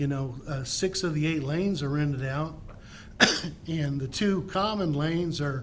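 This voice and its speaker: A man's somewhat breathy, fairly high voice, ordinary pitch variation, a fairly slow pace, and audible room echo. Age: 60s. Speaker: resident giving public comment. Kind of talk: public comment. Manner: halting.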